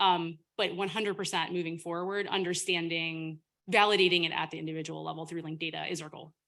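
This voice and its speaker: On a very clean recording with a silent background, a woman talks loudly at a very fast pace, her fairly low voice bright and sharp in tone with monotone, flat intonation. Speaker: government data official presenting. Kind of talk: Q&A session after presentation.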